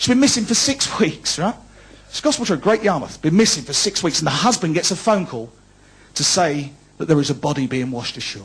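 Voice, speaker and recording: In a Cockney accent, a man talks at a fairly quick pace with very wide pitch swings. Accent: London Cockney. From London, East End. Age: 40s. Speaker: comedian. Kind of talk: stand-up. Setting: stage with audience. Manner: animated.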